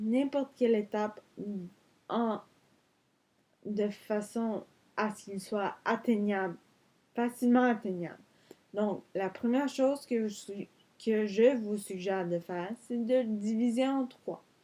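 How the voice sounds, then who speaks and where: A woman with a fairly high pitch speaks at a very slow pace with long, frequent pauses. Her loudness swings widely while her intonation stays fairly even. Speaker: vlogger. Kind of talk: vlog tutorial. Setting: in bed. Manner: halting.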